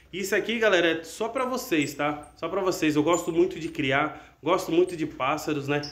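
A man talks at a moderate pace with a high pitch and ordinary pitch variation. He leaves hardly any pauses. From Brazil. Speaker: canary breeder and channel host; channel host. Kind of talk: casual video announcement. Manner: animated. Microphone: phone near.

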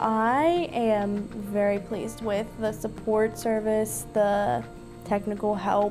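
Clear background music behind a woman's voice. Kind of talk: interview answer. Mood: positive, pleased. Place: office.

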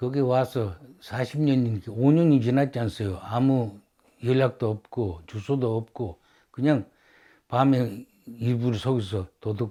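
At a very slow pace, a man speaks at medium pitch in a dark, mellow, somewhat breathy tone with ordinary pitch variation, on a very clean recording with a silent background. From Sakhalin, Russia. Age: 80s+. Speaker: oral history narrator, Sakhalin Korean. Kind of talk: oral history interview. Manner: halting.

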